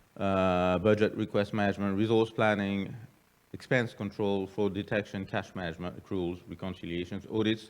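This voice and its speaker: Fairly low-pitched man at a moderate pace, monotone with flat intonation. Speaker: public finance official. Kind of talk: conference talk. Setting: conference with audience. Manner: halting, many fillers and repeats.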